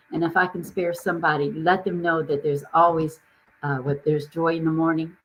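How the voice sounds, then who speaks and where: A woman speaks at a fairly quick pace and a fairly low pitch. Her intonation is monotone and flat. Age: 70s. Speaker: business coach, founder. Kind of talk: casual chat. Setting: live stream video call.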